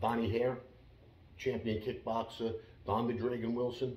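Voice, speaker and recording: A man's somewhat breathy, medium-pitched voice with audible room echo. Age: 60s. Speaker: former mobster and martial arts instructor. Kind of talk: interview. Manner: halting.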